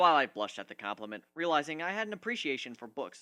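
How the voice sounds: A man's fairly high voice with a bright, sharp tone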